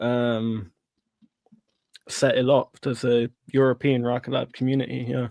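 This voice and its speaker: A man talks at a fairly slow pace with long, frequent pauses, his medium-pitched voice flat and monotone, in a dry, close sound with no echo. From Ireland. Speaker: stock investing livestream host. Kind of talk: casual livestream chat.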